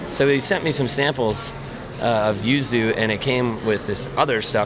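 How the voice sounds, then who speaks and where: The speaker has an American accent and ordinary pitch variation, with noticeable background noise behind the voice. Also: man. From US Midwest, central Illinois. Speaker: brewer. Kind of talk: casual interview.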